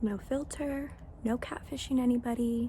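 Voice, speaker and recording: A woman whispering at a very slow pace, with audible room echo and noticeable background noise. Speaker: beauty vlogger. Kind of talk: casual vlog. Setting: outdoors.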